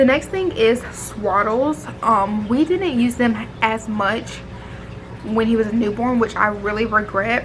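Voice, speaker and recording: A woman with a fairly high pitch speaks over music in the background. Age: 20s. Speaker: mom vlogger. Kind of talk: casual vlog talk. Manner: casual, filler-heavy.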